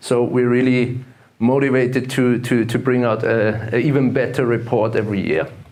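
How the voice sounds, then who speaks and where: The speech comes in an Austrian accent at a moderate pace, with monotone, flat intonation. Loudness stays very even, and room echo is audible. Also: man, medium pitch for a man. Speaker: investment fund manager and gold analyst. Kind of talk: conference talk. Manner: hesitant, many fillers and repetitions.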